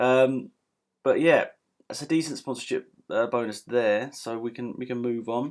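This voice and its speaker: A man mumbles in a British accent. His medium-pitched voice keeps a fairly even intonation. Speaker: gaming youtuber. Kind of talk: gameplay commentary. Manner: mumbling; casual.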